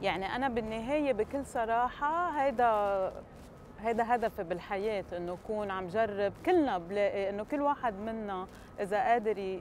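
A woman at a moderate pace with lively intonation, dry sound with no echo, and light background noise. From Palestine. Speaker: chocolate entrepreneur. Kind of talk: TV interview. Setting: studio with audience. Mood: earnest, reflective. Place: street.

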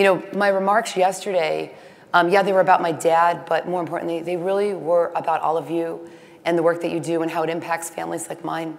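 A woman talks at a fairly quick pace in a fairly low, monotone voice with flat intonation. Noticeable background noise and audible room echo surround her. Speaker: industry association executive. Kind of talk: conference keynote speech.

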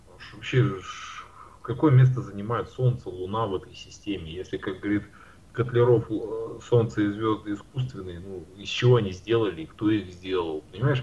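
This man has an unremarkable speaking voice, fairly low in pitch, moving at a moderate pace with ordinary pitch variation and big swings in loudness. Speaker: round earth debater. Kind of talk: heated debate.

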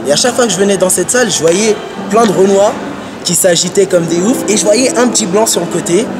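A man speaks fairly quickly while noticeable noise runs in the background. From Paris region, France. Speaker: hip-hop dancer. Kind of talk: interview. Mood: relaxed, reflective. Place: street.

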